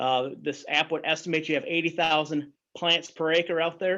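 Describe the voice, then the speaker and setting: Over a quiet background, a man speaks at a fairly quick pace. His voice is fairly high-pitched, with a bright, sharp tone. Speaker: agronomy professor. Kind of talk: webinar presentation. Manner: fast.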